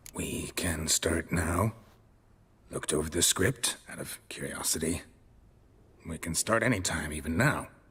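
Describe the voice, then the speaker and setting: A put-on character voice at a moderate pace, with long, frequent pauses. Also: man, very deep, low pitch for a man. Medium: video game. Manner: terse, flat, low on emotion.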